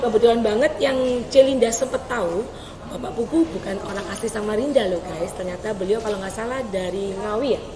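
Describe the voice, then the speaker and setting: Speaking at a fairly quick pace with a Javanese accent and ordinary pitch variation, the voice swings widely in loudness over noticeable background noise and audible room echo. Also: woman, fairly high pitch for a woman. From East Java, Surabaya. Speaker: podcast host. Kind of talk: casual interview chat. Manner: animated.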